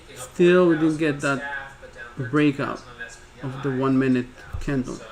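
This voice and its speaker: A fairly high-pitched man with a non-native accent, speaking at a fairly slow pace with monotone, flat intonation amid noticeable background noise. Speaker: day trader streamer. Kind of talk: live trading commentary. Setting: live stream. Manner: halting, with repetitions.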